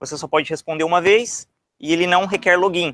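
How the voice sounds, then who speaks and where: A man's high-pitched voice comes through on a very clean recording against a silent background. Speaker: software developer, conference speaker. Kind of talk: technical talk. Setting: stage with audience. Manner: hesitant, many fillers.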